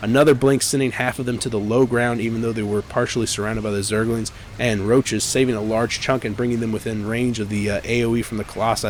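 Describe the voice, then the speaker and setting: At a very fast pace and medium pitch, a man speaks with hardly any pauses over noticeable background noise. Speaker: esports caster. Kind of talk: live commentary. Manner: animated; stuttering in places.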